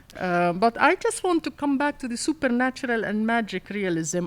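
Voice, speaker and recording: A woman with an Arabic accent, high in pitch, with very wide pitch swings, at a fairly slow pace. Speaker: author. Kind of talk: onstage author conversation.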